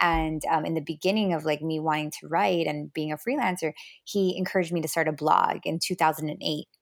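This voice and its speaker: With a Miami accent, a woman talks fairly quickly in a very deep, low pitch with fairly even intonation. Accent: Miami American English. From Miami, Florida (Cuban American family). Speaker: dating coach and author. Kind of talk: interview. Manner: hesitant, many fillers.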